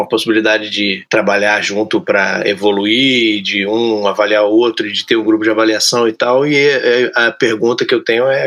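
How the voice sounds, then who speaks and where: At a moderate pace, a man speaks in an ordinary speaking voice at medium pitch with fairly even intonation. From Brazil, outside São Paulo. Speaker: podcast host. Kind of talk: casual podcast chat.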